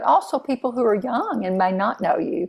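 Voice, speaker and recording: Using a normal speaking voice, a woman with an American accent speaks at a medium pitch and a moderate pace, with ordinary pitch variation. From Texas. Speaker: interviewer, band director association member. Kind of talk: interview.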